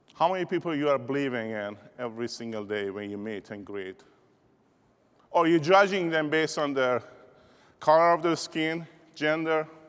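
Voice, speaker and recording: In an Iranian accent, a man talks at a moderate pace with lively intonation, big swings in loudness, and long, frequent pauses. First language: Persian. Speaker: keynote speaker, insurance business leader. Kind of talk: motivational keynote speech. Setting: stage with audience. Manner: animated.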